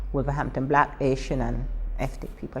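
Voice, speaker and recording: Very fast speech from a woman, with noticeable background noise behind it. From Barbados. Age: old. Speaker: Windrush generation migrant interviewee. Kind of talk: oral history interview. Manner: animated.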